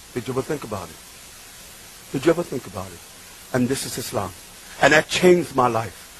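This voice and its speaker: With a New York accent, a man talks at a fairly quick pace over noticeable background noise. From Bronx, New York, Puerto Rican family. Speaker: preacher. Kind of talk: religious talk. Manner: animated.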